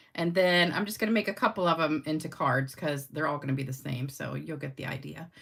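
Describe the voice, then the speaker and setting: A woman speaks at a very fast pace with hardly any pauses, her pitch very deep and low. Her voice carries vocal fry, and her pitch variation is ordinary. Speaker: card-making demonstrator. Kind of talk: live-stream craft tutorial. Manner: casual, chatty.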